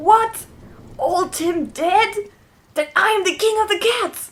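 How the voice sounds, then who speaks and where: Pitched extremely high, a put-on character voice moves along at a fairly slow pace. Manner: meowing cat voice.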